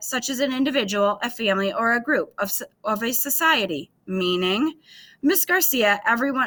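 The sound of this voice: The speaker reads in an unforced voice with lively intonation.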